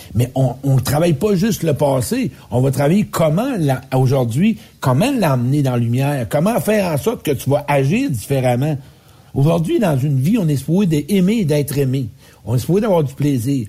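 At a moderate pace and very even loudness, a man speaks with a fairly high, somewhat breathy voice, a dark, mellow tone and lively intonation. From Quebec. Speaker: public speaker and life coach. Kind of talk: casual radio chat.

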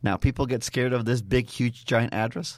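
A man speaks at a moderate pace with vocal fry. The recording is very clean, with a silent background. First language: not English. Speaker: network systems engineer. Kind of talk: casual interview. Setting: studio.

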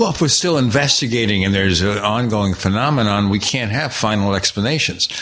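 A fairly low-pitched man at a fairly quick pace with hardly any pauses, very even loudness and ordinary pitch variation, amid noticeable background noise. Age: old. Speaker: podcast host. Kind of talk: interview.

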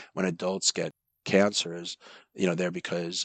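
A man with a very deep, low voice and a bright, sharp tone speaks fairly quickly in an American accent. The sound is dry and close with no echo. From Long Island, New York. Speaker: pediatric neurosurgeon. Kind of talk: interview.

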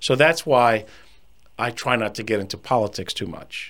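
A plain, everyday voice belongs to this man, who speaks at a medium pitch and a moderate pace with ordinary pitch variation. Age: 50s. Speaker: financial advisor and podcast host. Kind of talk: solo podcast monologue.

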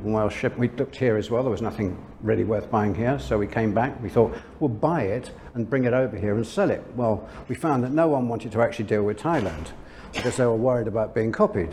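Fairly quick male speech with ordinary pitch variation against noticeable background noise. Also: medium pitch for a man. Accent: London. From London, England. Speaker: lingerie brand owner. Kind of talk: interview.

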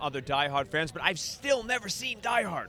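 A man with a New York accent talks in a raised, projected voice at a fairly quick pace, his pitch swinging very widely. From Staten Island, New York. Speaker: band musician. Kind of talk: casual interview. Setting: live event at a bar.

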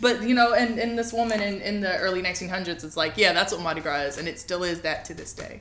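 Over noticeable background noise, a woman with a medium pitch races along at a very fast pace with hardly any pauses and big swings in loudness. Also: ordinary pitch variation. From New Orleans, Louisiana. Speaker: podcast host. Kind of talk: casual chat.

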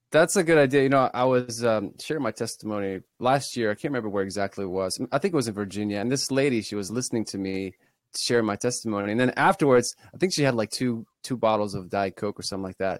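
A man speaks at a very fast pace with hardly any pauses. The recording is very clean with a silent background and a dry, close sound with no echo. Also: medium pitch for a man, ordinary pitch variation. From Ukraine, Kyiv. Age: 30s. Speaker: graphic designer and content creator. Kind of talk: testimony.

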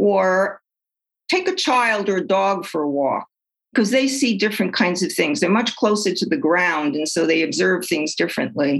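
A woman with a New York accent speaks at medium pitch and a moderate pace, her intonation lively and her loudness very even. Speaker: retired psychologist and author. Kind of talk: interview.

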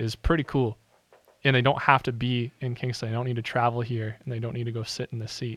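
A plain, everyday voice moves at a fairly quick pace with fairly even intonation, the sound dry and close with no echo against a quiet background. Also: man. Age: 20s. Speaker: radio host. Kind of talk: casual interview.

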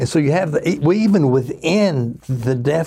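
A man's somewhat breathy voice, dark and mellow in tone, with very wide pitch swings on a very clean recording with a silent background. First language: American Sign Language. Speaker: pastor and sign language interpreter. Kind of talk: interview, voicing signed answers. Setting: studio.

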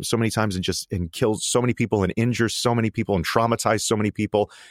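The voice shows ordinary pitch variation in a very clean recording with a silent background and a dry, close sound without echo. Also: man. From Connecticut, US. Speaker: actor and filmmaker. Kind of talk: interview. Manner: halting, many fillers and repeats.

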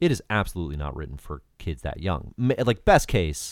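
This man has an American accent and ordinary pitch variation. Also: very clean recording, silent background. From US state of Georgia. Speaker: comics writer, editor and podcaster. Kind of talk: casual chat.

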